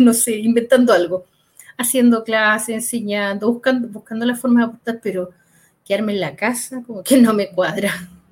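With an ordinary speaking voice, a woman talks at a moderate pace, fairly high in pitch and with fairly even intonation. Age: 50s. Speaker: project manager. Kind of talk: casual chat.

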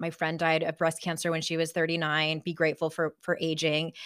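The recording of this woman is very clean, with a completely silent background. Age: 40s. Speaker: author and life coach. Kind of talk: casual interview.

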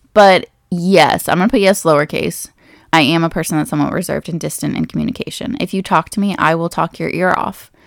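This woman speaks very fast with vocal fry and a fairly low pitch. Her pitch variation is ordinary, and the recording is very clean over a silent background. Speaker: podcast host, college advisor. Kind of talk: casual solo podcast, reading quiz questions aloud. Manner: self-deprecating, laughs often.

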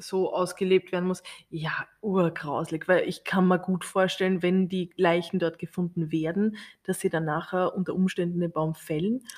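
Over a silent background on a very clean recording, a woman at medium pitch talks at a moderate pace in a flat monotone. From Austria. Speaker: podcast co-host. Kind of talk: casual chat.

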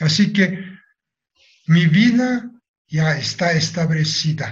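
With a Japanese accent, a man speaks very slowly at a fairly high pitch and ordinary pitch variation. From Japan, Nagasaki. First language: Japanese (speaking Spanish). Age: 80s+. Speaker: atomic bomb survivor. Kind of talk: testimony.

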